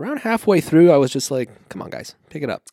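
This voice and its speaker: A man mumbles with a fairly high pitch and a dark, mellow tone. The sound is dry and close, with no echo. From Iran (ethnic Iranian). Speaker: podcast co-host. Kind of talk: casual chat. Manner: mumbles and fumbles.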